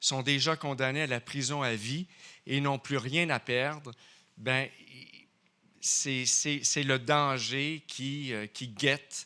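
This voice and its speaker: In a Quebec French accent, a man with a fairly high pitch and a bright, sharp tone speaks at a fairly slow pace with fairly even intonation, on a very clean recording with a silent background. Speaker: crime journalist. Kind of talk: award acceptance speech. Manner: halting.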